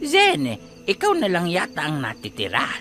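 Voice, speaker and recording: Over clear background music, a man speaks at a fairly slow pace in a high, put-on character voice. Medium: read story. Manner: brisk, lightly teasing.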